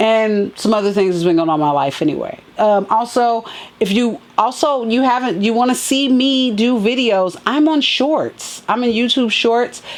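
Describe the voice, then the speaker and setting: Over noticeable background noise, a woman speaks at a fairly high pitch and moderate pace with lively intonation and very even loudness. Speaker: sneaker and fashion vlogger. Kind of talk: casual unboxing vlog.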